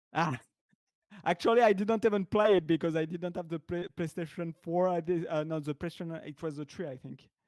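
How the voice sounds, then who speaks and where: With a French accent, a man speaks fairly quickly in a high voice, with ordinary pitch variation, big swings in loudness, and a dry, close sound with no echo. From France. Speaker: software developer. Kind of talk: casual chat. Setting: livestream video call. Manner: halting, repeats words.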